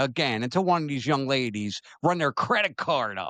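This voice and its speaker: Speaking at a fairly slow pace against a quiet background, a man with an American accent has a fairly high pitch, a bright, sharp tone and lively intonation. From Maryland. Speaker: talk show host. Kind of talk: opinion talk show, reading viewer comments.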